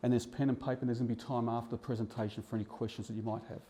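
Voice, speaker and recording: Speaking with an Australian accent, a man has a dark, mellow tone. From Australia, eastern suburbs of Melbourne. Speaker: real estate buyer's advocate. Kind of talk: seminar presentation. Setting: seminar room with live audience. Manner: fast at times.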